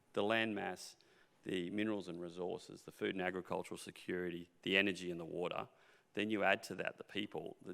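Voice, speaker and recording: Very fast and fairly even in intonation, the speech comes in an Australian accent with a bright, sharp tone. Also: man. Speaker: mining company executive. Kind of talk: panel interview.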